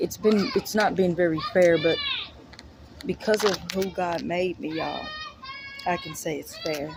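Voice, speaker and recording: Over noticeable background noise, a woman with a fairly low pitch speaks at a fairly slow pace, showing ordinary pitch variation and big swings in loudness. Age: 30s. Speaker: vlogger, mother. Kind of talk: personal vlog monologue.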